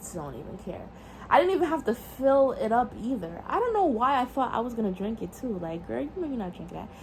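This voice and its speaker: A woman with an American accent speaks at a very fast pace in a fairly high pitch. Her pitch swings are very wide, with noticeable background noise. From New York City. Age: young. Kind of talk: casual storytime talk to camera.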